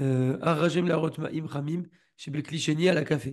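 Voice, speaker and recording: A man's fairly high voice, dark, mellow tone, fairly even intonation, quiet background. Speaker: Torah teacher. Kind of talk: lecture. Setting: video call. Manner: soft-spoken.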